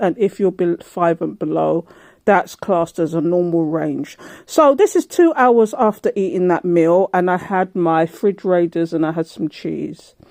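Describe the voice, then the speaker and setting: A woman with a fairly low, dark, mellow voice speaks at a fairly slow pace with ordinary pitch variation. The background is quiet. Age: 60s. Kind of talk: casual talk to camera. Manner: chatty, informal.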